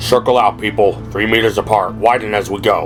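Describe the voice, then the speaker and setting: A man's put-on character voice, fairly low and fairly quick, over clear music in the background. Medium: read story. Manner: terse, commanding.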